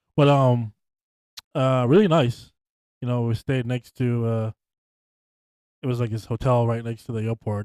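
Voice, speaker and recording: A loud man with a dark, mellow tone at a moderate pace, in a dry, close sound with no echo. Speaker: podcast host. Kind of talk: casual chat.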